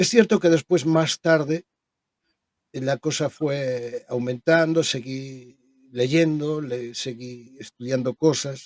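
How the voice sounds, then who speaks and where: Very slowly and at fairly high pitch, a man speaks with ordinary pitch variation in a dry, close sound with no echo. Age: 60s. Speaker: spiritual medium. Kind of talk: interview conversation. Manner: halting.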